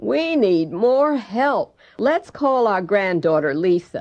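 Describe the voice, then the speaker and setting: A woman's put-on character voice, medium in pitch and fairly slow, with very wide pitch swings. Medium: read story.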